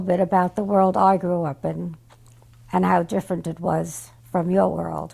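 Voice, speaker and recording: A woman speaks in a New York accent. Her pace is moderate. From New York, Brooklyn. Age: 90s. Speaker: great-grandmother. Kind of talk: family memoir talk.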